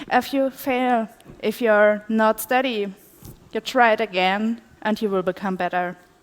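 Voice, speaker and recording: Her intonation fairly even, a woman talks at a fairly high pitch and a moderate pace. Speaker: conference speaker, PhD researcher. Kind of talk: conference talk. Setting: stage with audience.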